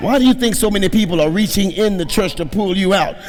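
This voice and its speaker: The speech comes at a very fast pace in an animated tone. Audible room echo and noticeable background noise surround it. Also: man. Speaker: pastor. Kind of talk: sermon.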